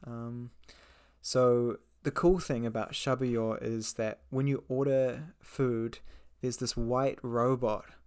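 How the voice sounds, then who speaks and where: A man with a New Zealand accent speaks fairly slowly at medium pitch. His intonation is fairly even, and the recording is very clean with a silent background. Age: 20s. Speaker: English teacher and podcast host. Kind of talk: casual monologue for English learners.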